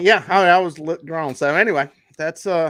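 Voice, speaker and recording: Speaking with a Southern accent at a moderate pace, a man is heard in a very clean recording with a silent background and a dry, close sound with no echo. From US South, Charlotte, North Carolina. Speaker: fishing guide and YouTuber. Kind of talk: interview. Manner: casual, conversational.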